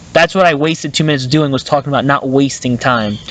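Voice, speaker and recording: A man's voice rises and falls in an ordinary way while noticeable noise sits in the background. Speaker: podcast host. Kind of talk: casual chat. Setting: outdoors in the woods. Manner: halting, filler-heavy.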